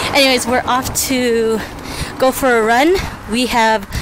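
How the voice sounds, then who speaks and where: Noticeable background noise behind a female speaker, the sound dry and free of echo. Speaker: vlogger. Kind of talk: casual vlog chat. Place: street. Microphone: phone near.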